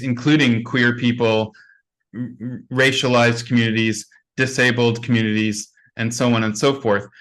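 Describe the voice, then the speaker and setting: A man with a Canadian accent speaks at a moderate pace in a plain, everyday voice, medium in pitch, over a quiet background. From Canada. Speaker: teacher trainer, conference speaker. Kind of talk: Q&A answer at online conference.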